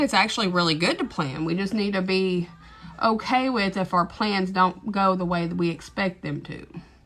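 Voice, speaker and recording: Music plays in the background as a woman with an East Texas accent speaks. Her pitch is medium and her pace moderate. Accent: thick East Texas. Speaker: TikTok live streamer. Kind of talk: casual chat. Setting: livestream. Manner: rambling, hesitant with fillers.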